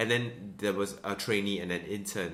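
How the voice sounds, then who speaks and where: The man's tone is bright and sharp, delivered at a fairly quick pace with audible room echo. His intonation is monotone and flat. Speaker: vlogger. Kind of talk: casual storytelling vlog. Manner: halting, many restarts.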